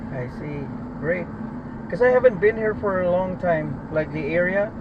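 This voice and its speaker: A man with a high pitch and lively intonation at a moderate pace, over noticeable background noise. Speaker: rideshare driver. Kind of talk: casual chat.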